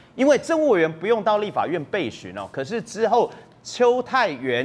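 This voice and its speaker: This voice is a man's. Very wide pitch swings run through it. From Taiwan. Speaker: legislator; guest. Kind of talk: TV political talk show panel. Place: studio.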